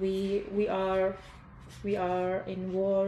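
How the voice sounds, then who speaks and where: In a room with audible echo, a woman speaks in a dark, mellow tone with monotone, flat intonation. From Iraq. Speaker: refugee. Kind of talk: interview. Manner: halting.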